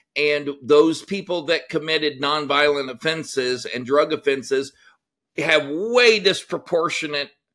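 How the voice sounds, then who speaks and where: This man has a bright, sharp tone and a fairly high pitch, speaking with a Texan accent. He goes at a fairly slow pace with ordinary pitch variation. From Texas. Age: 50s. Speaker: former prison guard. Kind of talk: interview.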